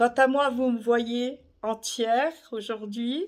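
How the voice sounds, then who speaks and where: The audio is very clean and the background silent. A female voice speaks at a fairly high pitch. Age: 70s. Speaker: retired carer sharing holiday wishes. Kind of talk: casual video monologue.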